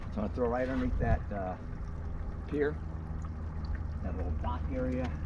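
Over noticeable background noise, a man's voice sounds dry, with no echo. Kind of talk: casual vlog chat. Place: waterside. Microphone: phone near.

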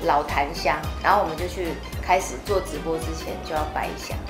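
Over clear background music, a woman's voice comes through. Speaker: singer. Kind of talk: interview answer. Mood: animated storytelling, slightly spooked. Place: meeting room.

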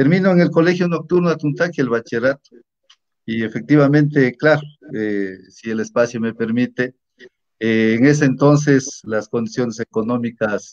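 At a moderate pace and medium pitch, a man speaks in a plain, everyday voice with ordinary pitch variation over a quiet background. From Ecuador, Imbabura (Natabuela). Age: 50s. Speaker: teacher and local politician. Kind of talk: interview. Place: home room. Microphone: video call.

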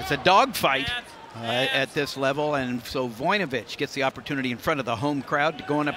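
An energetic man at a fairly high pitch, lively in intonation, dry with no echo, over loud background noise. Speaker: play-by-play commentator. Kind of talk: live sports play-by-play commentary. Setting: arena broadcast. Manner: fast, energetic, clipped call of the action. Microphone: headset.

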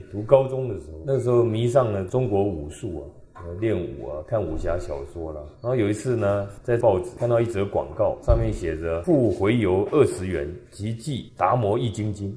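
An unremarkable speaking voice: a man at a fairly low pitch and moderate pace. His loudness swings widely over light background noise. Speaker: religious lecturer. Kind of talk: sermon. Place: hall.

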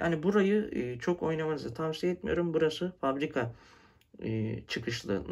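Pitch swings very widely while the speech holds a moderate pace. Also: man. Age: 20s. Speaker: tech YouTuber. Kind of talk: product review tutorial. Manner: casual with frequent fillers. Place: home room. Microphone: phone near.

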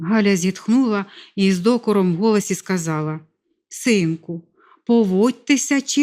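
This is an unforced reading voice. The background is quiet.

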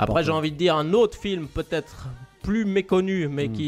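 The talking proceeds at a moderate pace. Faint music sits in the background. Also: man. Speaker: podcast co-host. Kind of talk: casual film commentary chat. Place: studio. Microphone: studio mic.

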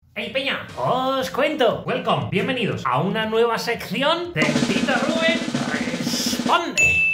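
Loud background noise sits under a man speaking at a very slow pace. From Spain. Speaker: comedian. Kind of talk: comedy monologue to camera. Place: home room. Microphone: phone near.

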